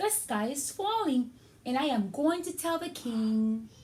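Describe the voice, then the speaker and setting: Putting on a character voice, a woman speaks fairly slowly in a high pitch. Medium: read story. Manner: flustered, excitable.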